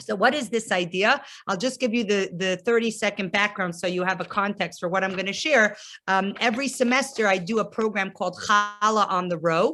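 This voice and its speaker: A woman with an American accent speaks at a fairly quick pace. Music plays in the background. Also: medium pitch for a woman, ordinary pitch variation. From US Northeast (New Jersey). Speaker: rabbi's wife and campus outreach leader. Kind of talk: lecture.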